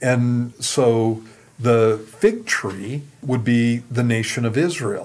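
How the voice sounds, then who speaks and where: With fairly even intonation, a man talks at a very slow pace. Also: medium pitch for a man. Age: 60s. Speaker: pastor. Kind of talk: Q and A teaching on radio.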